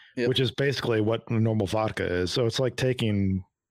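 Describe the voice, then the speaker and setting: A man talks with ordinary pitch variation. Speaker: podcast host. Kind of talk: casual chat.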